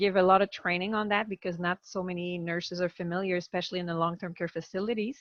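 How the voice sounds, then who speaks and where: In a Quebec French accent, a woman talks at a fairly quick pace with medium pitch and flat, monotone intonation. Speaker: palliative care physician. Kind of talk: webinar presentation. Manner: halting.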